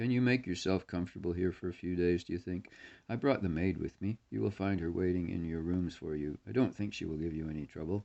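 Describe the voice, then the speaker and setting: A man puts on a character voice, very deep and low, strained, and rushed at a very fast pace. His pitch varies in an ordinary way against a quiet background. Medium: read story. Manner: terse, restrained, intense.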